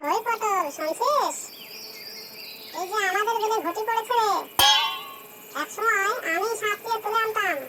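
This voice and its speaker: A cartoonish character voice at a moderate pace over loud background noise. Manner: bossy, rambling.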